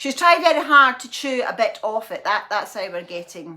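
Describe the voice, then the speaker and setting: A woman speaks fairly quickly in a Scottish accent, with noticeable background noise. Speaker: lifestyle vlogger. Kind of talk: casual vlog chat. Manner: rambling, repetitive.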